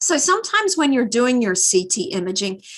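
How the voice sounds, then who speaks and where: At a moderate pace, a woman speaks with a fairly high pitch and very wide pitch swings. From Australia. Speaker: neuroradiologist. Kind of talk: lecture. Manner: animated.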